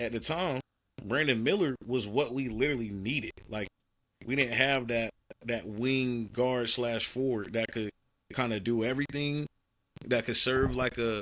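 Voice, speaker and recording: A plain, everyday voice from a man at medium pitch, moderate in pace, with ordinary pitch variation. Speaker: sports podcast co-host. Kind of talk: casual chat.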